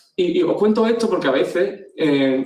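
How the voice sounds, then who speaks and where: A man is talking. Nothing stands out in his pitch variation, which is ordinary. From Andalusia, Spain (Jaén, then Ayamonte, Huelva). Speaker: agency CEO, speaker. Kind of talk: conference talk. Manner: hesitant, repeats words.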